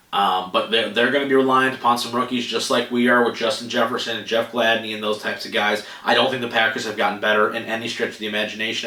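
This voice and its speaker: A man with an American accent talks at a very fast pace in a monotone, flat intonation. Room echo is audible and background noise is noticeable. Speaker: sports podcast host. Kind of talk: solo sports podcast talk.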